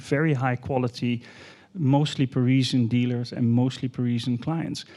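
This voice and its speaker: Speaking at a medium pitch, a man with a Dutch accent has a dark, mellow tone. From Netherlands. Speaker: art fair executive. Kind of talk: panel discussion.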